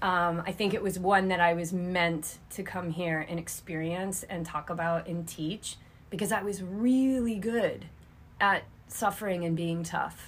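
A woman speaks at a fairly slow pace and fairly low pitch, somewhat breathy, with fairly even intonation. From New England (Cape Cod, Massachusetts). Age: 40s. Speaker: yoga teacher and triathlon coach. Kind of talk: casual interview conversation.

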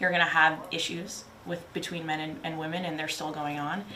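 Over noticeable background noise and audible room echo, a woman speaks at a moderate pace in a fairly low pitch with a monotone, flat intonation. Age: 30s. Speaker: active duty marine staff sergeant. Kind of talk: casual chat.

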